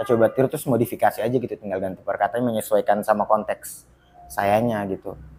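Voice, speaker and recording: A man at a very fast pace with music in the background. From Baubau, Southeast Sulawesi, eastern Indonesia. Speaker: stand-up comedian. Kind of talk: casual podcast interview. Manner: conversational, storytelling.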